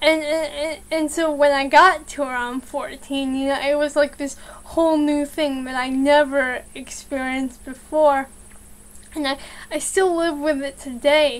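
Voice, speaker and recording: Flat, monotone intonation comes at a fairly slow pace. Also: woman, high pitch for a woman. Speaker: vlogger. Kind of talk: casual vlog chat. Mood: calm personal sharing. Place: home room. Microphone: webcam.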